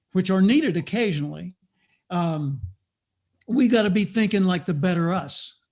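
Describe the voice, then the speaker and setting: This man has a high voice and an American accent, with lively intonation at a moderate pace. The background is quiet. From US South, Little Rock, Arkansas. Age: 70s. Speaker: motivational speaker and author. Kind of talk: interview.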